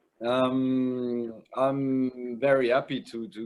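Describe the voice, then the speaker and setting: A man with a French accent. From France, Bordeaux. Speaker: winemaker. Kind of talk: trade presentation. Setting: video call.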